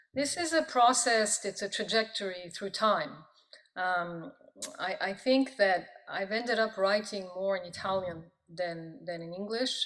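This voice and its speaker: With a French accent, a woman talks at a fairly slow pace in a medium pitch with ordinary pitch variation. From born in Pakistan, diplomatic family. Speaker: professor of Italian and poet. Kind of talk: interview. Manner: halting, many fillers.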